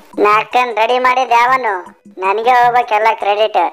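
A female-sounding voice does a put-on character voice, fairly high-pitched for a woman and fairly slow. Faint music plays in the background. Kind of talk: comedy spoof dialogue. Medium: dub.

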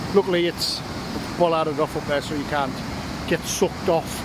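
A man talks at a moderate pace, the sound dry with no echo, amid loud background noise. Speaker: paddle boarder vlogger. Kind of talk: casual vlog chat. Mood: cheerful, relaxed. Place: waterside. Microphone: phone near.

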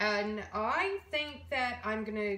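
A woman speaks over noticeable background noise. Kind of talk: tutorial. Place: kitchen. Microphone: camera far.

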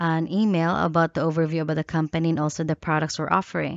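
The intonation is monotone and flat. The background is quiet, and the sound is dry with no echo. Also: woman. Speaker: job applicant. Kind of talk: self-introduction video. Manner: halting. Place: home room. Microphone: headset.

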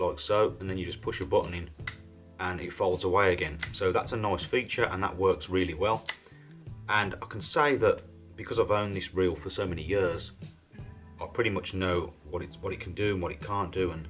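Faint music plays behind a man with a very deep, low pitch who talks at a fairly quick pace with ordinary pitch variation. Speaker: fishing tackle reviewer. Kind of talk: product review commentary. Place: home room.

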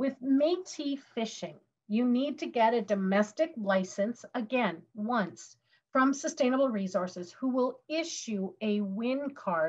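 A somewhat breathy woman at a fairly slow pace with lively intonation. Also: quiet background. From Western Canada. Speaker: legal education presenter; presenter. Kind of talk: webinar presentation. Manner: hesitant, many fillers.

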